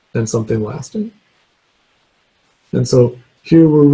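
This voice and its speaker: A man with a normal speaking voice at a moderate pace, with ordinary pitch variation. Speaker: guest lecturer, remote sensing scientist. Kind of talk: lecture; Q&A answer.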